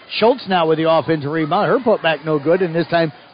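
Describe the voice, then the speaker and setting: An energetic tone with ordinary pitch variation at a fairly quick pace, over noticeable background noise. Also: man. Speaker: radio sports play-by-play announcer. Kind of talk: live play-by-play sports commentary on a high school basketball game. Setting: broadcasting live from the gym. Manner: quick, fluent and energetic, calling each shot and foul as it happens.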